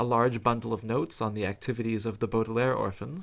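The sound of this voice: Intonation remains fairly even. The delivery is an unforced reading voice.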